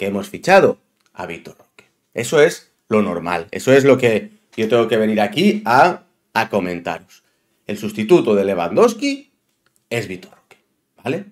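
Against a quiet background, a man talks at a moderate pace with very wide pitch swings, big swings in loudness and long, frequent pauses. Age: 30s. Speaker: football YouTuber. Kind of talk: opinion monologue. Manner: animated.

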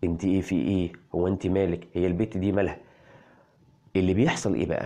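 A man with an Egyptian accent speaks in a dark, mellow tone over a quiet background. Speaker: parenting health blogger. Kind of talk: health explainer video. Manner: animated.

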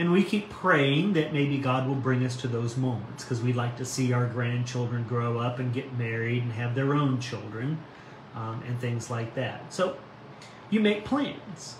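With a warm tone and ordinary pitch variation, a man talks at a fairly slow pace over noticeable background noise. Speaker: pastor. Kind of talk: devotional reading and reflection. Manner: warm, informal, friendly. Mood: calm, gentle, reflective. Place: home room. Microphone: phone near.

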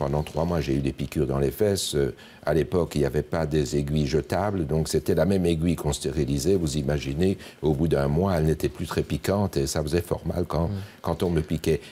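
A man speaks at a fairly quick pace in a very deep, low pitch with vocal fry. His tone is dark and mellow, and his intonation fairly even. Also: very even loudness. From Belgium, Liège. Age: 70s. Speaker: politician and retired neurosurgeon. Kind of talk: TV interview.

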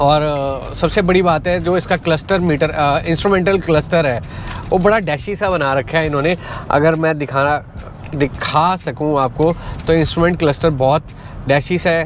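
Over music in the background, a man speaks at a fairly slow pace with fairly even intonation and very even loudness, the sound dry with no echo. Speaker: car reviewer driving. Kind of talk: casual vlog car review. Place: car.

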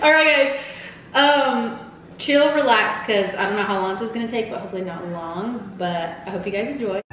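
Fairly quick speech from a woman amid audible room echo and light background noise. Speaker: vlogger hosting a couple's quiz. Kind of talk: casual vlog chat. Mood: playful, a little nervous. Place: home room. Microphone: camera far.

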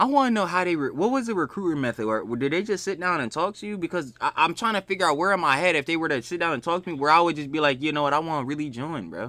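With hardly any pauses, a man rattles along at a very fast pace in a fairly high, bright and sharp voice, animated in tone and lively in intonation. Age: 20s. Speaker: reaction video youtuber. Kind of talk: casual reaction chat.

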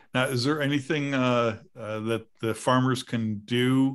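Speaking very slowly, a man is heard over a quiet background. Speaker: podcast host; show host. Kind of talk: casual chat. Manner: rambling, many filler words. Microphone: video call.

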